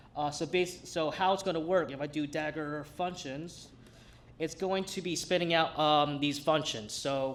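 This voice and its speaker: In a Brooklyn accent, a man speaks at a moderate pace in a fairly high voice with fairly even intonation. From New York City, Brooklyn. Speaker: hack night demo presenter. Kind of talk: live tech demo. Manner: casual, halting with fillers.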